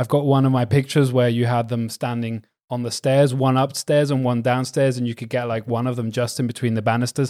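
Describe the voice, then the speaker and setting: This man talks at a fairly quick pace in a Belgian accent, his pitch medium. The tone is dark and mellow, the intonation monotone and flat. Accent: English with a Belgian. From Belgium, partly raised in England (Essex, Suffolk, Hertfordshire). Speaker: wedding photographer and doctor. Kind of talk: casual chat. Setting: remote call.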